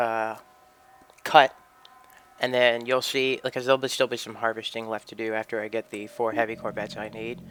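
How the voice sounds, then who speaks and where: A man speaks at a medium pitch in a monotone, flat delivery with big swings in loudness. Long, frequent pauses break his speech, and background noise is noticeable. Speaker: gaming video creator. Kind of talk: game walkthrough commentary. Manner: fast; casual, rambling.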